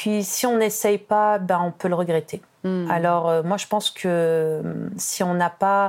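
A woman with a medium pitch speaks at a very slow pace. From France, Tunisian family. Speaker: business owner. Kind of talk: interview. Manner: animated.

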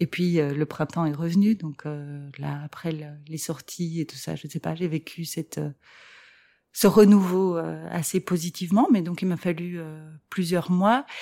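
A woman speaks at a fairly slow pace with a fairly low pitch, a dark, mellow tone, ordinary pitch variation and big swings in loudness. Her long, frequent pauses sit in a very clean recording with a silent background. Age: 40s. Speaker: separated mother. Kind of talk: personal testimony interview. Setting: at home. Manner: hesitant, many fillers.

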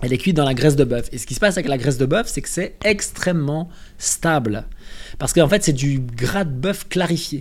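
A somewhat breathy man with a fairly high pitch, lively intonation and a fairly quick pace. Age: 30s. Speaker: nutrition and health content creator. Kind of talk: casual interview chat.

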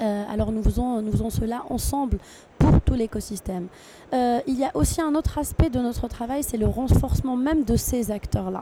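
Noticeable background noise sits behind a woman speaking at a moderate pace in a high pitch. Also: ordinary pitch variation. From Tunisia. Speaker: international trade agency officer. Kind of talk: interview. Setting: tech trade show.

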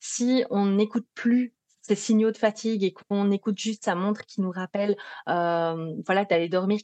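Against a quiet background, a woman with a slight Belgian accent talks at a medium pitch with ordinary pitch variation, the sound dry and close with no echo. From Belgium. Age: 30s. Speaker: psychologist specialized in sleep disorders. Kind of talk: interview.

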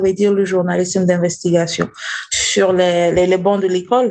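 This is a woman's voice, pitched in the medium range. She talks at a moderate pace. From Burkina Faso. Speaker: investigative journalist. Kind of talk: interview. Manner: halting.

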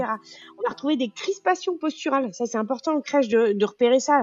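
Speaking fairly quickly, a woman uses a high pitch and lively intonation. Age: 30s. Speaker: nurse anesthetist and app founder. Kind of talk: interview.

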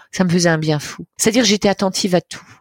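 A woman's voice with ordinary pitch variation in a dry, close sound with no echo. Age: 60s. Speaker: storyteller and cancer survivor. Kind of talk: personal testimony, telling her cancer story like a tale. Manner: animated, playful and humorous, dramatic with vivid imagery; expressive storyteller with laughing asides.

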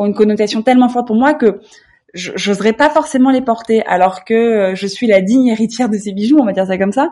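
Dark and mellow yet fairly high in pitch, a somewhat breathy woman's voice moves at a fairly quick pace with ordinary pitch variation over a quiet background. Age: 30s. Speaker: lifestyle blogger. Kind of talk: interview. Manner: hesitant, with repetitions.

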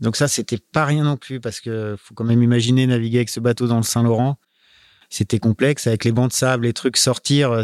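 Recorded very cleanly with a silent background and a dry, close sound without echo, a man speaks at a medium pitch with fairly even intonation. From France. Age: 40s. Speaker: professional sailor. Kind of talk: interview. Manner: halting.

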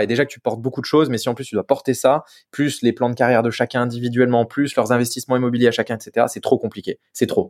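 A man at medium pitch, very fast and fairly even in intonation, in a dry, close sound with no echo on a very clean recording with a silent background. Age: 30s. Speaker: business owner. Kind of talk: interview.

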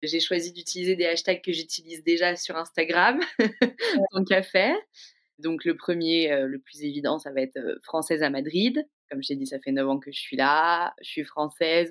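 A woman's fairly low voice, with ordinary pitch variation, moves along at a moderate pace. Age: 30s. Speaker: podcast guest telling her love story. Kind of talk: personal storytelling. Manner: casual, hesitant with fillers.

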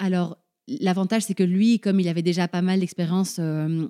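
Close and dry with no echo, a woman's fairly low, dark, mellow voice moves at a fairly quick pace with fairly even intonation. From grew up abroad as diplomat's child (Paraguay, Argentina, Morocco, Belgium). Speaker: mother and travel companion of an adventurer. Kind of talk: interview conversation. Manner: hesitant, many fillers and repetitions.

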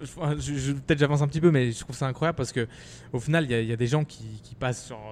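A man at a fairly quick pace, medium pitch, with ordinary pitch variation. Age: 20s. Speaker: podcast host and startup founder. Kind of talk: podcast interview. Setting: in a shop. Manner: hesitant, many fillers.

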